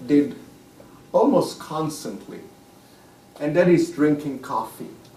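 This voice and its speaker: A man with an Italian accent, very slow pace, noticeable background noise and audible room echo. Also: long, frequent pauses. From Italy (Rome). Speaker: author. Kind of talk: public talk.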